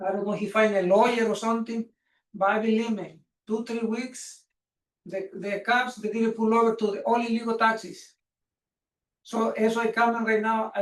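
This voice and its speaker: Speaking with a Spanish accent, a man with a high pitch keeps a fairly even intonation at a moderate pace. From Mexico. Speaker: taxi business owner speaking at public comment. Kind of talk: public comment at council meeting. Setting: council meeting room. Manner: halting.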